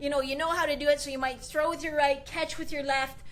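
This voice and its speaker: The delivery is animated. Audible room echo surrounds it. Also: woman. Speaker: goalie trainer. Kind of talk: live video tutorial.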